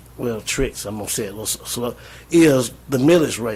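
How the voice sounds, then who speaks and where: With a Southern US accent, a man speaks at a moderate pace and medium pitch, his voice somewhat breathy. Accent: Southern US (Georgia). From US South, Georgia (Jones County). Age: 60s. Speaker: retired pastor speaking at public meeting. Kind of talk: public comment at county meeting. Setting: county commission work session. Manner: earnest, repetitive.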